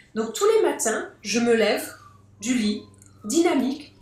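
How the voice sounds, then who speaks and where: High-pitched female speech with noticeable echo from the room. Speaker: globetrotter sharing life lessons. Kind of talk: podcast interview. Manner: hesitant, with fillers.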